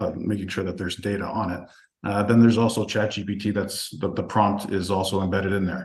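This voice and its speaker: A man speaks very fast in a fairly low, somewhat breathy voice with fairly even intonation. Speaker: real estate investing coach presenting a webinar. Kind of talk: webinar product presentation. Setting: online group call.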